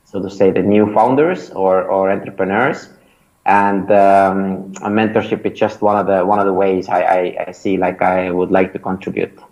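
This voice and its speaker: A man in an Estonian accent, fairly low in pitch, monotone and flat, at a moderate pace. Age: 30s. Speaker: startup founder and mentor. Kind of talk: interview. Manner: hesitant, many fillers and repetitions.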